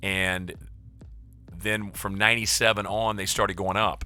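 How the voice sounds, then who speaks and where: With music in the background, a man with an American accent speaks at a moderate pace in a fairly low voice, his intonation fairly even. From US Midwest. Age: 60s. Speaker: game streamer. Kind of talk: casual chat. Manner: rambling with frequent restarts.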